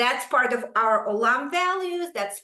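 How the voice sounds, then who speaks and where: With very wide pitch swings, a woman speaks at a high pitch. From Ukraine, former Soviet Union. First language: Russian. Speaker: school language program leader. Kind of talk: presentation to parents. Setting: video call.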